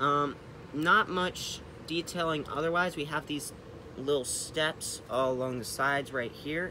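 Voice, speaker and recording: Speaking at a moderate pace, a man with a fairly high pitch uses ordinary pitch variation. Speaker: model train hobbyist reviewer. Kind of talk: product review.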